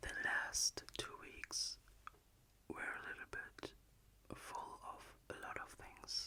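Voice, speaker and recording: A woman whispers with a German accent. She talks at a very slow pace, broken by long, frequent pauses. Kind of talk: ASMR talk-to-sleep. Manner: soft-spoken, whispered; calm, hesitant.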